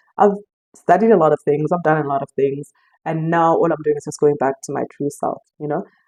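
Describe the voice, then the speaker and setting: A woman with a dark, mellow tone is heard in a dry, close sound with no echo. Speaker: intuitive life coach. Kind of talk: casual spiritual talk to camera. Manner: fast; halting, many restarts.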